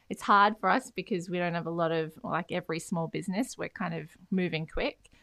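In a very clean recording with a silent background and a dry, close sound with no echo, a woman with an Australian accent speaks at a fairly quick pace, her fairly low voice bright and sharp in tone, with ordinary pitch variation. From Australia, Beenleigh, Queensland. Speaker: podcast co-host, property industry expert. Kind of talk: casual chat.

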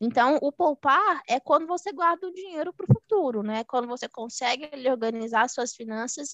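Raised and projected, the woman's high-pitched voice sounds bright and sharp, with lively intonation. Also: dry, close sound with no echo. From Minas Gerais, Brazil. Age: 20s. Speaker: economist and investment mentor. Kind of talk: podcast interview.

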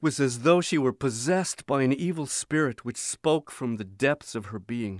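With a dramatic tone and lively intonation, a man speaks at medium pitch in a very clean recording with a silent background and a dry, close sound with no echo. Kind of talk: audiobook reading aloud of a memoir. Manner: dramatic, grave, slow-paced narration.

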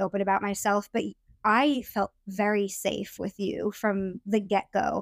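Dry and close with no echo, this is a normal speaking voice from a woman at medium pitch with fairly even intonation. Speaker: podcast host. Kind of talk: casual chat between partners.

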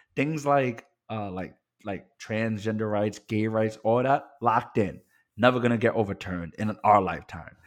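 Speaking at a moderate pace, a man with an ordinary speaking voice keeps a fairly low pitch with ordinary pitch variation. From Puerto Rican family, New York area. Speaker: podcast co-host, attorney. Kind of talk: casual chat.

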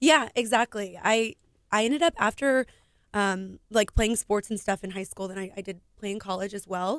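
An ordinary speaking voice from a woman with an American accent, medium pitch, ordinary pitch variation, big swings in loudness, moderate pace, dry and close with no echo, on a very clean recording with a silent background. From Houston, Texas. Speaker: business owner and foundation founder. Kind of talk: radio interview. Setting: radio studio.

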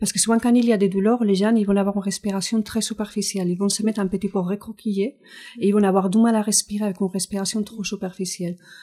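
A woman talks at a very fast pace in a dark, mellow tone. Her pitch is medium and her intonation is monotone and flat. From Spain. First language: Spanish (speaking French). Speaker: physiotherapist and Pilates teacher. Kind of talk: interview. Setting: studio.

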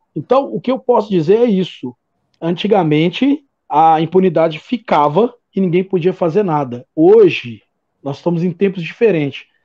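A man with a high pitch and a dark, mellow tone speaks at a moderate pace. His intonation is lively, and the sound is dry and close with no echo. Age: 40s. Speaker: football fan commentator. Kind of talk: casual chat.

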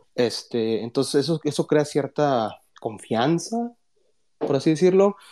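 A man's dark, mellow voice with lively intonation, dry and close with no echo, on a very clean recording with a silent background. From South Texas, near the Mexican border. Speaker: finance professor. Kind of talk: casual chat. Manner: halting, many fillers.

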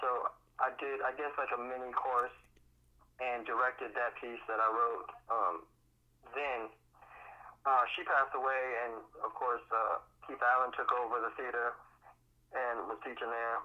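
Using an American accent, a man talks at a moderate pace and medium pitch in a monotone, flat way, with long, frequent pauses. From Miami, Florida (Miami Gardens). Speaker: actor, playwright and drama therapist. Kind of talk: casual interview.

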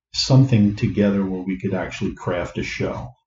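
Somewhat breathy, a man's voice has a dark, mellow tone and a fairly low pitch. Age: 60s. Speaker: retired engineer and comedy club organizer. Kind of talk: casual interview. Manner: halting.

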